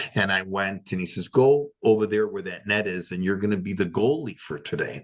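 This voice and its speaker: Speaking at a moderate pace, a man with a Chicago accent uses a fairly low-pitched voice. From Chicago area, US Midwest. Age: 60s. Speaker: retired hockey player and podcast host. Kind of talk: interview. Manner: animated.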